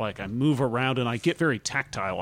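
A man speaks at a fairly quick pace. He has a slight Southern accent. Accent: slight southern twang. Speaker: comedy podcast co-host. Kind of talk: casual chat.

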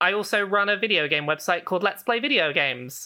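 A woman with a British accent talks at a fairly quick pace, her tone bright and sharp with lively intonation. The recording is very clean, with a silent background. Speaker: video game journalist. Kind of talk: casual interview chat.

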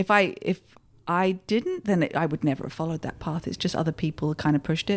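On a very clean recording with a silent background, a woman speaks at a very fast pace with an American accent. The sound is dry and close with no echo, and her pitch varies in an ordinary way. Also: fairly low pitch for a woman. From Kent, southeast England. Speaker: actress. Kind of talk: casual chat.

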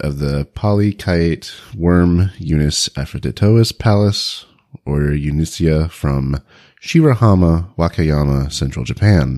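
Here a man speaks at a very deep, low pitch with lively intonation. The recording is very clean and silent in the background, its sound dry and close with no echo. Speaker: animal review podcast co-host. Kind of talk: casual chat.

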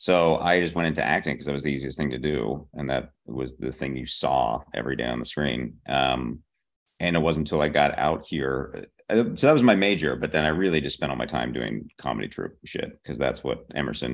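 Using vocal fry, a man with a very deep, low pitch talks at a fairly quick pace with ordinary pitch variation. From Pittsburgh, Pennsylvania. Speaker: TV comedy writer. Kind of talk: interview.

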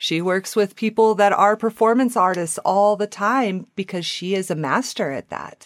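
A woman with an American accent has an ordinary speaking voice, medium pitch and ordinary pitch variation, talking at a moderate pace in a dry, close recording with no echo. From Wyoming. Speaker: Reiki and yoga practitioner. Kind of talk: casual interview. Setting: remote call.

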